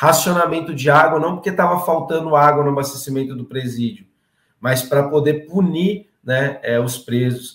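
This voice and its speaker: Speaking at a moderate pace, a man has a fairly high pitch with ordinary variation. He has an ordinary speaking voice. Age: 30s. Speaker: political candidate and activist. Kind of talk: political interview. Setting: live stream.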